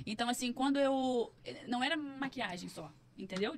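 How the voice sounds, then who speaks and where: A woman talks with lively intonation. Her voice is somewhat breathy. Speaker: psychologist and entrepreneur. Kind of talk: podcast interview, personal story. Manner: animated.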